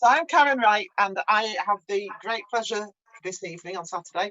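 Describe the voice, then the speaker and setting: A woman speaks in an unremarkable speaking voice. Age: 60s. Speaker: cooking show host. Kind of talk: live cook-along hosting. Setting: video call from a caravan.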